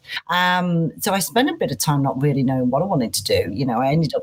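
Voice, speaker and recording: The voice carries a Manchester accent and is somewhat breathy. Its intonation is lively. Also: woman. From northern England, Manchester. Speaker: head of people and culture. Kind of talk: podcast interview. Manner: high energy.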